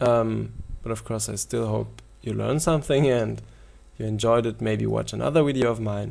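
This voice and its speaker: A man with a non-native accent at a moderate pace. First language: German. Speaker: poker video coach. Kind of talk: tutorial. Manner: halting.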